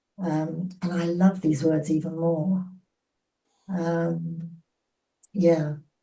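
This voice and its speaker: Speaking at a very slow pace with long, frequent pauses, a woman has a fairly low pitch, a dark, mellow tone, monotone, flat intonation and a somewhat breathy voice. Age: 80s+. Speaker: book group participant. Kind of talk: casual chat. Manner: halting.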